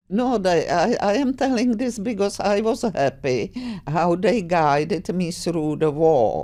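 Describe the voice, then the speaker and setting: A woman speaks with a Czech accent at medium pitch and a fairly slow pace. Her pitch swings very widely while her loudness stays very even. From Czechoslovakia. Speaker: grandmother. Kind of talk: interview answer.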